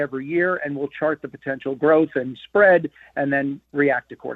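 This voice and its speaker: Speaking at a fairly quick pace with fairly even intonation, a man has a plain, everyday voice. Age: 60s. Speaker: sports radio co-host. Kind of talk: casual chat.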